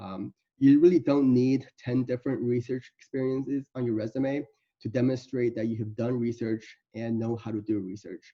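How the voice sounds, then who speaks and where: A man with a non-native accent, medium pitch, fairly even intonation and a moderate pace. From Iowa City, Iowa, US. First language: not English. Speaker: medical student. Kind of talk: presentation. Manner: halting.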